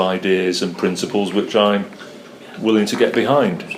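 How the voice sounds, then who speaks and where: Against noticeable background noise, a man with a Mancunian accent talks at a fairly low pitch. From North Manchester, England. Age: 60s. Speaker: political candidate. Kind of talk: interview.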